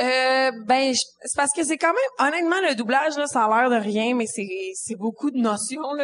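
This woman has a high pitch and ordinary pitch variation, speaking in a Quebec accent. Her pace is moderate, with hardly any pauses. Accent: Québécois French. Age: 20s. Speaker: comedian. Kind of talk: casual chat. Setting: stage with audience.

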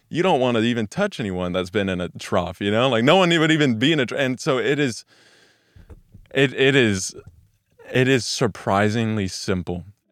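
A man talks in a plain, everyday voice with lively intonation. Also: medium pitch for a man, moderate pace. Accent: American. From Texas, Weatherford/Peaster. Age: young. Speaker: church staff member, casual YouTuber. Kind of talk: devotional Bible teaching. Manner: casual, conversational.

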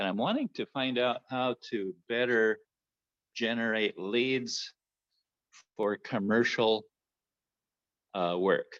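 A man with a medium-pitched voice talks at a very slow pace with long, frequent pauses and fairly even intonation, the sound dry and close with no echo over a quiet background. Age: 70s. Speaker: painting contractor. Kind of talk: video call question. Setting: video call. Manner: halting.

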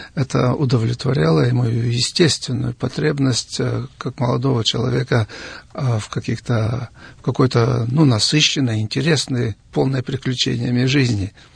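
At a fairly slow pace, a man talks in a medium pitch with ordinary pitch variation and a plain, everyday voice. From Siberia, Russia. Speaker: missionary and author. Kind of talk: studio interview. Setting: radio studio.

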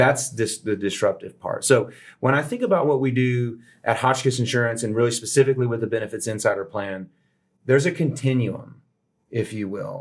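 Somewhat breathy, the voice has an American accent and moves at a fairly quick pace. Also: man, medium pitch for a man, ordinary pitch variation. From Texas (Houston). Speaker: insurance broker. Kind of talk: interview.

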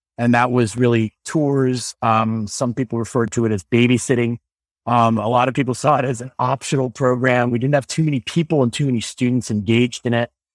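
A man's voice, an unremarkable speaking voice with an American accent, medium in pitch, fairly even in intonation, at a fairly quick pace, in a dry, close sound with no echo and a very clean recording over a silent background. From central Illinois, US Midwest. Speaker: school administrator and education consultant. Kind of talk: podcast interview.

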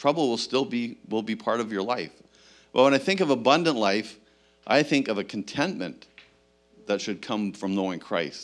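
On a very clean recording with a silent background, a man uses an ordinary speaking voice at a medium pitch, a moderate pace and lively intonation. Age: 60s. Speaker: pastor. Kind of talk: sermon. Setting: church.

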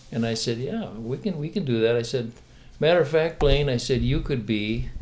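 At a moderate pace, a man speaks at medium pitch in an unremarkable speaking voice. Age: 60s. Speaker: retired teacher. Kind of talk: testimony.

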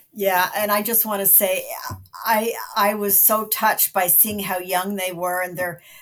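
In a Canadian accent, a woman with an ordinary speaking voice talks fairly slowly at medium pitch with fairly even intonation. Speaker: film critic. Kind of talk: casual chat.

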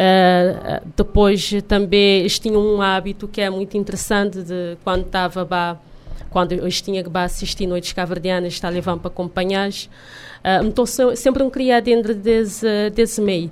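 With an unremarkable speaking voice, a woman talks at medium pitch and a moderate pace, her intonation fairly even and hardly any pauses. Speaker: singer. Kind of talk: casual interview.

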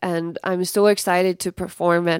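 Recorded very cleanly with a silent background and a dry, close sound with no echo, a woman with an American accent speaks at a fairly slow pace and medium pitch in a plain, everyday voice. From Colorado, US. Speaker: performer and storyteller. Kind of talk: radio interview.

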